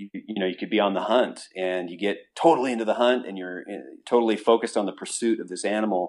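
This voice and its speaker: A man with an American accent and a fairly low pitch talks very fast with hardly any pauses, ordinary pitch variation and big swings in loudness. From Utah. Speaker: business owner and horseman. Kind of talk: interview.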